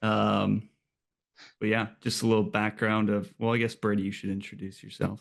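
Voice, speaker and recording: Against a quiet background, a man with a Minnesotan accent speaks at a fairly low pitch with monotone, flat intonation. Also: moderate pace. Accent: Minnesota. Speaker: podcast co-host. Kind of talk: casual chat.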